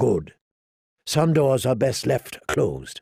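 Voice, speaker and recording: A man puts on a raspy character voice at a medium pitch, speaking at a fairly slow pace. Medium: read story. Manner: halting, guilty.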